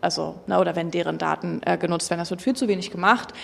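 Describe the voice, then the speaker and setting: A woman with vocal fry at a fairly quick pace. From Berlin. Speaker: industry association policy lead. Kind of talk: panel discussion.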